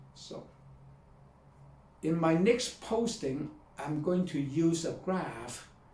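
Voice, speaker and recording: Audible room echo surrounds a very slow voice with a non-native accent and ordinary pitch variation. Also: man. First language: not English. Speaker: video blogger and author. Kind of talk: talk to camera. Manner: halting.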